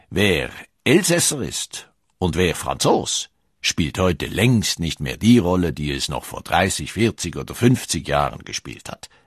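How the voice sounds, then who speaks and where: A man with a very deep, low pitch and vocal fry speaks at a very slow pace, with very wide pitch swings and big swings in loudness. The sound is dry and close with no echo, over a quiet background. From Switzerland. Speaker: documentary narrator. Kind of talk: scripted narration.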